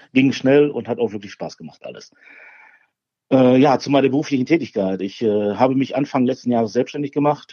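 A man with a normal speaking voice talks at medium pitch and a fairly quick pace. His pitch varies in an ordinary way, and his loudness swings widely. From Ruhr area, Germany (Bochum). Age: 40s. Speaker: barbecue champion and former carpenter. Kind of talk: casual interview.

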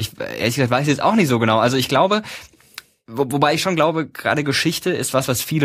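Using an unremarkable speaking voice, a man moves at a fairly quick pace with ordinary pitch variation. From Baden-Württemberg, Karlsruhe. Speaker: YouTuber and TV presenter. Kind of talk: casual interview.

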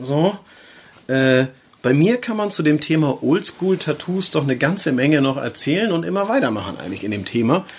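With a northern German accent, a man speaks in very wide pitch swings. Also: fairly high pitch for a man, moderate pace. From northern Germany, Schleswig-Holstein near Flensburg. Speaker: tattoo artist and podcast host. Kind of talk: casual chat.

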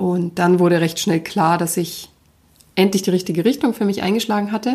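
Speaking at a moderate pace with fairly even intonation, a woman has an unremarkable speaking voice at a medium pitch. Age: 30s. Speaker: podcast host and life coach. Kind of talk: personal monologue.

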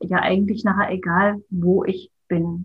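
The speaker is a woman. A somewhat breathy quality runs through her voice. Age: 50s. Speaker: artist and childcare educator. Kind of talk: interview.

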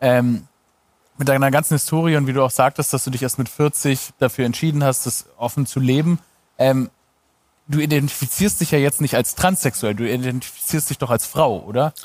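A man with a normal speaking voice talks at a medium pitch and a moderate pace. His pitch shows ordinary variation. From Stuttgart, Germany. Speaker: comedian and TV presenter. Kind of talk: casual chat.

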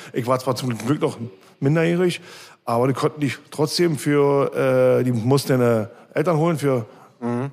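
A man talks at a moderate pace with a medium pitch and ordinary pitch variation. Long pauses come often. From East Berlin, Germany. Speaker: punk band musician. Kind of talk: casual interview. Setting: bar.

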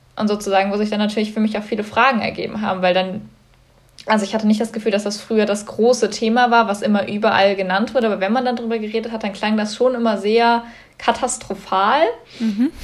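Very fast and monotone, a woman speaks at a fairly high pitch with flat intonation. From Germany, Cologne. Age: young. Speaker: climate activist. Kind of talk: interview.

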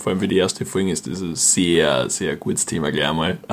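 Noticeable background noise runs throughout. Over it, a man talks at a very fast pace. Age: 20s. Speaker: podcast co-host. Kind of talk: casual chat. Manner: animated.

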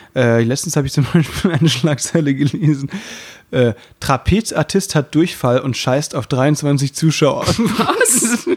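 A man's fairly high, somewhat breathy voice with lively intonation at a fairly slow pace. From Baden, southern Germany. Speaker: variety artist and podcast host. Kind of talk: casual chat.

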